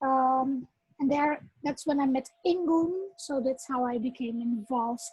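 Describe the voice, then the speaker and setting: Holding a very even loudness, a woman with a Dutch accent and a high pitch speaks at a fairly slow pace with fairly even intonation. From Netherlands and Suriname. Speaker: workshop facilitator. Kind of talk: workshop talk with personal testimony.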